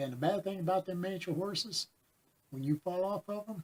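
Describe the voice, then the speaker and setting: Somewhat breathy and at a moderate pace, a man talks with lively intonation in a dry, close sound with no echo. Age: 60s. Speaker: pet nutrition advisor and vlogger. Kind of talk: casual personal vlog talk. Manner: rambling, hesitant with fillers.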